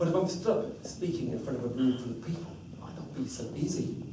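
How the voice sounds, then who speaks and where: Amid noticeable background noise and audible room echo, a man speaks at a moderate pace with a fairly high pitch and lively intonation. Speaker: public speaking club member. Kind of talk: prepared speech. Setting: stage with audience.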